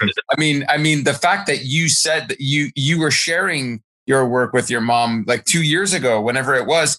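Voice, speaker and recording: A man at a moderate pace, bright and sharp in tone, with very even loudness, ordinary pitch variation and a dry, close sound with no echo. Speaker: podcast host. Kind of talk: casual interview. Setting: remote recording. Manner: enthusiastic.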